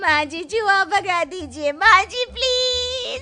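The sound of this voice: A woman's put-on character voice at an extremely high pitch, bright and sharp in tone, with ordinary pitch variation, a slow pace and faint music in the background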